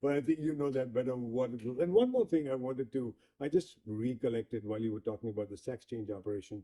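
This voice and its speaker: A man with a dark, mellow tone and medium pitch talks very fast with ordinary pitch variation, in a dry, close sound with no echo. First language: not English. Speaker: interviewer. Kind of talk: interview.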